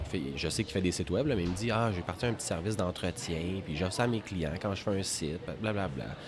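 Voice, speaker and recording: With music in the background, a man with a Quebec accent talks at a fairly quick pace in a fairly low pitch with ordinary pitch variation. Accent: Québécois French. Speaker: entrepreneur, web maintenance company cofounder. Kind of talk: casual interview.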